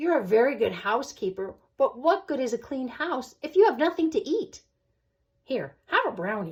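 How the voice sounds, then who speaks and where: Putting on a character voice, a woman speaks at a moderate pace in a high, warm tone with very wide pitch swings. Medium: read story. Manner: warm, friendly.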